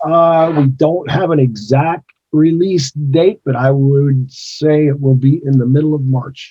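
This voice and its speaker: Somewhat breathy, a man talks with an American accent and fairly even intonation. His pace is fairly slow, with hardly any pauses. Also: fairly high pitch for a man. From US Midwest (Gary, Indiana). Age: 60s. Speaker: retired pro wrestler. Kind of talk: interview.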